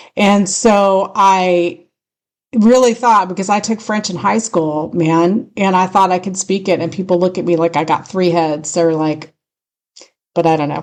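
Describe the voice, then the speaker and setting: At a fairly slow pace, a woman speaks. She has a strong Californian accent. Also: medium pitch for a woman, ordinary pitch variation. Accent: thick California. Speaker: radio host. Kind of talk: casual chat.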